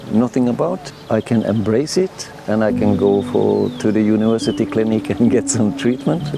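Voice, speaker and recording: With a Norwegian accent, a man talks at a moderate pace and medium pitch over noticeable background noise. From Norway. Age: 70s. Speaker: retiree living abroad. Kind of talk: interview testimony. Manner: hesitant, with fillers.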